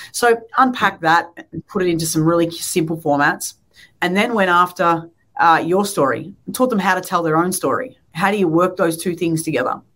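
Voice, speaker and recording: Speaking with an Australian accent, a woman has a fairly low pitch. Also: ordinary pitch variation, moderate pace. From Australia, Melbourne. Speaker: pastor. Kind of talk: interview.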